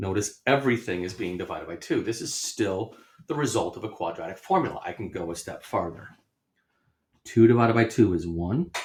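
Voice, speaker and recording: Somewhat breathy and at medium pitch, a man talks at a fairly quick pace with lively intonation and big swings in loudness. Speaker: math teacher. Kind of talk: lecture.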